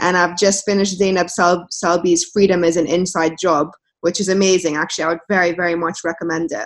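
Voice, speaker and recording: With a London accent, a woman talks at a very fast pace, her pitch fairly low and her intonation monotone and flat. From London, England. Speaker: journalist and author. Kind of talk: interview conversation.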